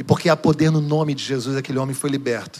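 This man's pitch sits fairly high. His voice is somewhat breathy. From Rio de Janeiro state, Duque de Caxias. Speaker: pastor. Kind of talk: sermon. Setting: church.

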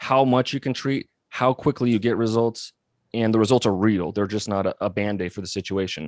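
A plain, everyday voice from a man with an American accent, medium pitch and fairly even intonation, dry and close with no echo against a quiet background. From Montana. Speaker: physical therapist and company founder. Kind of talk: interview.

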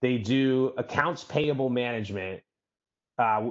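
A man with an American accent and an ordinary speaking voice talks at a medium pitch and a moderate pace. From New York City. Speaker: venture capital investor. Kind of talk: interview.

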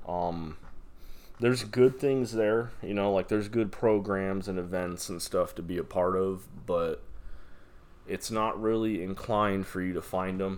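An unremarkable speaking voice with an American accent, fairly slow in pace and fairly even in intonation. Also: man, fairly low pitch for a man. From Las Vegas, Nevada. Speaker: podcaster. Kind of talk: casual monologue. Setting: alone in apartment room. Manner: rambling with frequent fillers and repetitions.

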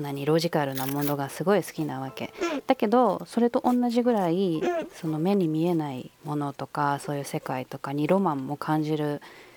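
Over noticeable background noise, a woman with a very deep, low pitch speaks at a moderate pace in a dry, close sound with no echo. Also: lively intonation. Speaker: podcast host. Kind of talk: casual chat.

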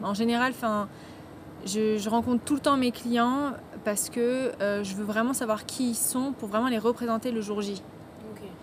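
Over noticeable background noise, a woman speaks at a fairly slow pace with a fairly high pitch and fairly even intonation. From France. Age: 20s. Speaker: wedding photographer. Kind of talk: interview. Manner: halting, many fillers.

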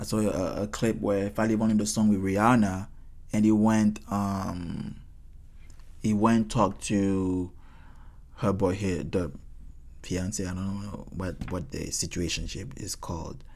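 A man's fairly low voice with a non-native accent, a fairly slow pace, long, frequent pauses and audible room echo. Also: ordinary pitch variation. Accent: noticeable foreign. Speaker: podcast host and singer. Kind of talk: casual solo talk. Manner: halting with repeated words.

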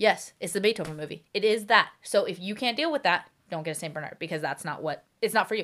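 A woman talks at a very fast pace with hardly any pauses, her pitch medium. Her tone is animated and her intonation lively. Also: very clean recording, silent background. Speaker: dog owner. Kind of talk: casual chat. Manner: fast talker.

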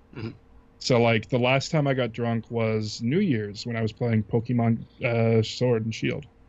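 The man uses an ordinary speaking voice, his pitch medium, his pace moderate and his intonation fairly even. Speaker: YouTube let's player. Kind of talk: casual chat.

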